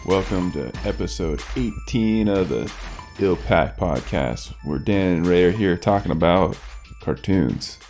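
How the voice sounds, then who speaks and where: The speaking pace is fairly slow, with music running behind it. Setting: podcast.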